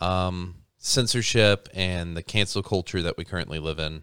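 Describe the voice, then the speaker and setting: The recording is very clean with a silent background. A man speaks with a very deep, low pitch. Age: 30s. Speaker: podcast host. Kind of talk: casual chat.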